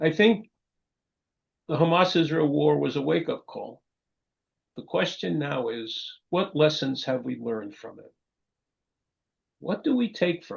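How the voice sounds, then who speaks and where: With long, frequent pauses and big swings in loudness, a man in a New York accent talks at a fairly slow pace. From New York, Long Island. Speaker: professor. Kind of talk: lecture. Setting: video call.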